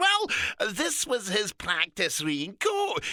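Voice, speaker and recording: In a put-on character voice with a Scottish accent, the pitch swings very widely, and the sound is dry and close with no echo. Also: man. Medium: read story. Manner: chatty, friendly, brisk.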